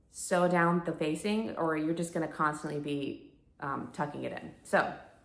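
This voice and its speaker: A woman at a fairly slow pace, with audible room echo around her. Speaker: sewing vlogger. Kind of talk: casual chat. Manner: conversational, filler-heavy.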